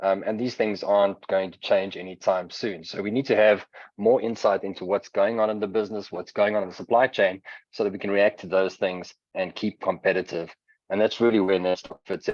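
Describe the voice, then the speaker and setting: A man speaks with a South African accent at a fairly low pitch. His intonation is monotone and flat, with big swings in loudness. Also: fairly quick pace. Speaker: software vendor presenter. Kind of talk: product webinar presentation. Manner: frequent filler words (um, uh).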